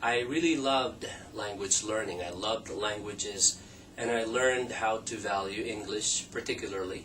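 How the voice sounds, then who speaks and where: With noticeable background noise behind him, a man talks at a moderate pace in a fairly low pitch and fairly even intonation. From Philippines. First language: Tagalog or Ilocano. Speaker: language teacher. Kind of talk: scripted introduction.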